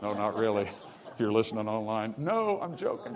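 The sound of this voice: Over faint background noise and faint crowd noise, a man with a fairly low pitch talks at a fairly quick pace with big pitch swings.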